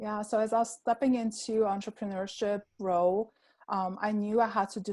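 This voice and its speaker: A fairly quick pace, fairly even intonation, and a dark, mellow tone with an Armenian accent, on a very clean recording with a silent background. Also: woman. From Armenia, Yerevan. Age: 30s. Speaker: pharmacist. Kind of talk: interview.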